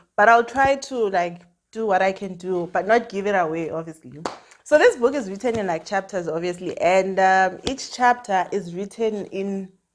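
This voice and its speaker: A woman with a medium pitch sounds animated, speaking at a moderate pace with ordinary pitch variation. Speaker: YouTuber, book reviewer. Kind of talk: casual book review vlog.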